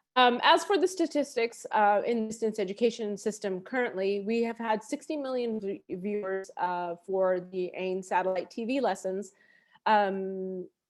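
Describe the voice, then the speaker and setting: A woman with an American accent speaks at a moderate pace with lively intonation. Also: medium pitch for a woman. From USA. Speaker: education researcher. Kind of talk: webinar presentation. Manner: halting.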